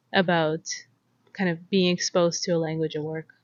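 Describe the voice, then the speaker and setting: A Russian accent in a monotone, flat delivery. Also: woman. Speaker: YouTuber. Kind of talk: casual chat.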